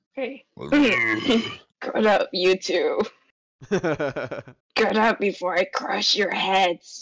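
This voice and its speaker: A put-on character voice, rumbling, raspy and gravelly, at a fairly high pitch and a very slow pace. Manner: menacing, commanding.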